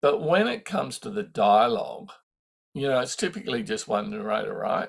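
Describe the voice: This man's medium-pitched voice is croaky, with vocal fry and a slightly husky edge. He moves at a moderate pace, and his pitch swings widely.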